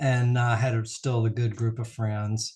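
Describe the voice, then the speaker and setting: Speaking very slowly with an American accent, a man sounds somewhat breathy and keeps a monotone, flat intonation. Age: 60s. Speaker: optometrist. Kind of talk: interview. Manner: halting.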